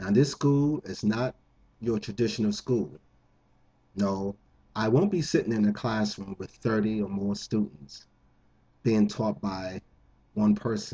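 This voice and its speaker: Pausing long and often, a man speaks at a fairly slow pace in a fairly low voice. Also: ordinary pitch variation. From New Jersey, Jersey City. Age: 50s. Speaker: contest entrant. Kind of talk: appeal to viewers.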